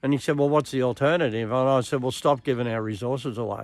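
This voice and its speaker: In an Australian accent, a man with a medium pitch speaks fairly quickly with ordinary pitch variation, on a very clean recording with a silent background. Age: 70s. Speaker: political commentator. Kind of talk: political monologue.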